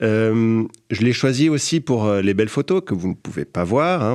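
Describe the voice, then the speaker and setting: There's a Swiss French accent in this man's speech. He has a medium pitch, a moderate pace and a quiet background. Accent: Geneva Swiss French. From Geneva, Switzerland. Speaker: podcast columnist. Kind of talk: podcast chronicle. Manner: hesitant, many fillers.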